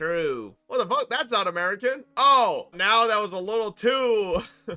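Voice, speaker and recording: A man projects his voice at a moderate pace, with a high pitch and a bright, sharp tone. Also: ordinary pitch variation. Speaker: gaming streamer. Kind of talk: casual livestream chat. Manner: animated.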